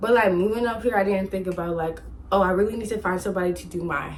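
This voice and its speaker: Speaking at a fairly quick pace, a woman uses an animated tone at medium pitch with an American accent. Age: 20s. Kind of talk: casual storytime talk to camera. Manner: chatty, animated.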